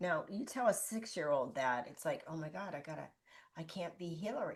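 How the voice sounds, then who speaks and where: The speaker talks at a moderate pace with an animated tone and lively intonation. The loudness swings widely. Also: woman. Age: 60s. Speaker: life coach. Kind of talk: interview.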